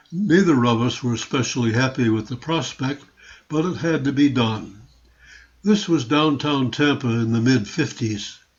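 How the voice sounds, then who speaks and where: Speaking in an American accent, a man with a medium pitch sounds somewhat breathy and shows ordinary pitch variation. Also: moderate pace. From US Northeast, Rochester, New York. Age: 80s+. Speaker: retiree narrating family memoir. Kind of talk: scripted narration of a photo slideshow.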